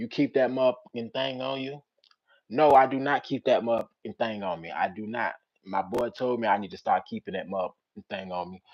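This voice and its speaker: Moving at a fairly quick pace, a man with a medium pitch uses lively intonation and big swings in loudness. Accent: American. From Richmond, Virginia (South Side), US South. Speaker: storyteller streamer. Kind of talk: casual live stream chat reading comments.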